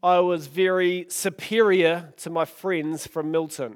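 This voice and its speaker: On a very clean recording with a silent background, a man with a New Zealand accent speaks at a very slow pace in a high pitch. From New Zealand, Oamaru. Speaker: pastor. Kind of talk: sermon. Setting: church.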